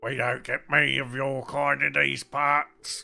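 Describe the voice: A man in a put-on character voice sounds croaky and raspy, speaking at a fairly slow pace over faint music in the background. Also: medium pitch for a man.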